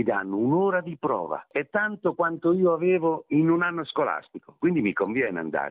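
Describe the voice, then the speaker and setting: This man's pitch is fairly high and swings very widely. He keeps a moderate pace. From Marche, Italy. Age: 70s. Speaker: orchestra conductor. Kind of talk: interview.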